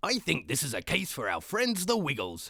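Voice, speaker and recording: A man puts on a high-pitched character voice at a moderate pace. The recording is very clean, with a silent background. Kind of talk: pirate talk. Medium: read story.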